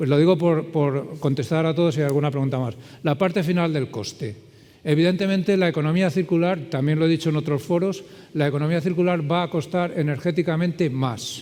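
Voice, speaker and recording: A man's voice, dark and mellow in tone, sits at a fairly high pitch with ordinary pitch variation. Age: 60s. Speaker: circular economy consultant. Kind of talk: conference talk with Q&A.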